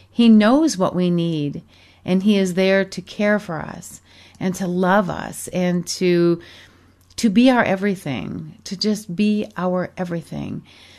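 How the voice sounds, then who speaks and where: In a quiet background, a woman with an American accent and a plain, everyday voice speaks at a fairly slow pace, medium in pitch with ordinary pitch variation. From Michigan, US. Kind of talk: radio show hosting, devotional talk. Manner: warm, effusive.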